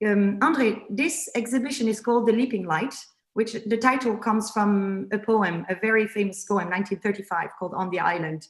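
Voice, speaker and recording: A woman speaks with a French accent at a fairly quick pace. Her pitch is fairly high, with ordinary variation. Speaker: interviewer. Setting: art exhibition. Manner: hesitant, many fillers.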